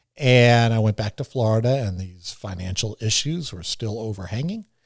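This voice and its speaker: In a very clean recording with a silent background and a dry, close sound with no echo, a man with a New York accent speaks at medium pitch, somewhat breathy, with lively intonation. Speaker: TV meteorologist. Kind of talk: podcast interview. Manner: fast; animated.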